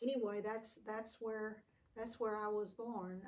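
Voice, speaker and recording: With an American accent, a woman speaks at a very slow pace in a fairly high pitch. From Texas. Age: 80s+. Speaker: family elder interviewed. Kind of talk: oral history interview. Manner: halting.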